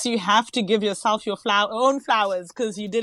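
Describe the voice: The woman's tone is fairly bright, and her pitch varies in an ordinary way.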